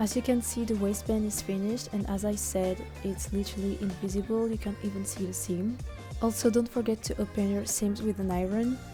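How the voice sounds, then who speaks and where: Someone speaks at a fairly quick pace in a French accent, with music playing in the background. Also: woman. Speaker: cosplayer. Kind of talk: sewing tutorial narration.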